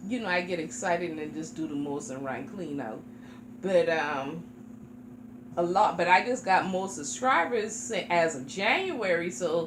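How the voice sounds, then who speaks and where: A woman with a fairly low pitch talks at a moderate pace, with very wide pitch swings and big swings in loudness. Room echo is audible, and there is noticeable background noise. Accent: American. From South Carolina, Charleston. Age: 40s. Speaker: reborn doll YouTuber. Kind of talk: casual chat.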